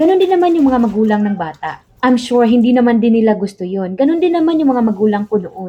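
Fairly quick delivery with lively intonation. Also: woman. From Philippines. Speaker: overseas Filipino worker vlogger. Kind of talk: casual vlog monologue.

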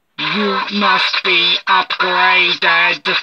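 This is a put-on character voice. It sounds robotic. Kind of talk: 1960s-style cyberman delivery. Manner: cold, mechanical.

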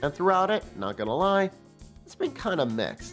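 Moderate-paced speech with music in the background. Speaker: toy reviewer. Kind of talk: casual comedic review narration.

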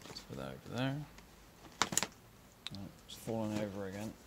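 At a moderate pace, a man speaks with fairly low pitch, vocal fry and a slightly mellow tone. Faint background noise sits behind him. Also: lively intonation.

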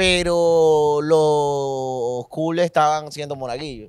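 This man speaks at a very slow pace. His pitch is fairly high, with ordinary pitch variation. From eastern Venezuela. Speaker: comedian. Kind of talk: casual chat. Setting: recorded on a beach trip.

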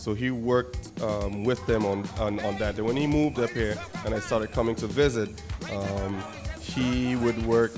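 A man's voice sits fairly low, with ordinary pitch variation. Music plays clearly in the background. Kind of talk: interview answer. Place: hall. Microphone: handheld.

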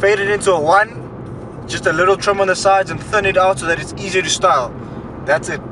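Over music in the background, a man speaks in a raised, projected voice at a fairly quick pace. The sound is dry with no echo, and his pitch varies in an ordinary way. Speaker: fitness vlogger. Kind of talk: casual vlog chat. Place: car. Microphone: phone near.

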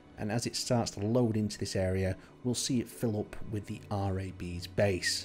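A man speaks in a fairly low pitch, somewhat breathy, with ordinary pitch variation. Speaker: gaming YouTuber and server host. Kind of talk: video tour commentary. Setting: screen recording voiceover. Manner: casual, conversational.

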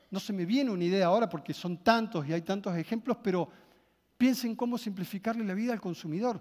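In front of a quiet background, a man with a Rioplatense accent talks very fast in an animated tone, high in pitch with ordinary pitch variation. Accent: Argentine Spanish (rioplatense). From Argentina. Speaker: marketing speaker; motivational speaker. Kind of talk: motivational keynote talk. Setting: stage with audience. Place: hall. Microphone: headset.

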